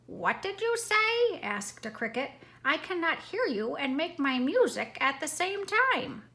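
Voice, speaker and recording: In a put-on character voice, a woman speaks at an extremely high pitch with very wide pitch swings at a moderate pace. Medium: read story.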